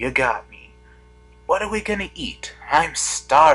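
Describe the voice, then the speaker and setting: A man puts on a character voice with a high pitch. He delivers it at a fairly slow pace. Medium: read story. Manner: brash, teasing.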